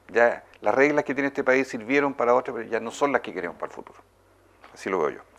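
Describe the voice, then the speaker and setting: Here a man talks very fast at a medium pitch. His pitch varies in an ordinary way, while his loudness swings widely. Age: 60s. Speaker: politician. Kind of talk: interview.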